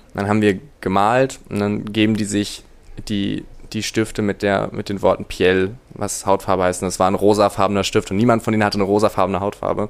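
A fairly low-pitched man's voice, fairly quick and flat in a monotone, on a very clean recording with a silent background. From northern Germany (Rostock). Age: 20s. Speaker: law student, returned volunteer. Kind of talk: interview. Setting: in-person recording. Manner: hesitant, many filler sounds.

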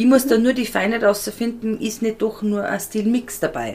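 An unremarkable speaking voice from a woman, fairly high-pitched, at a moderate pace. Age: 30s. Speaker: style and colour consultant. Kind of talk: casual interview.

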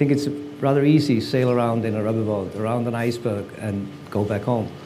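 A man with an Icelandic accent at a fairly quick pace, ordinary pitch variation, audible room echo and noticeable background noise. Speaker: photographer. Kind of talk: artist talk at exhibition. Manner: halting.

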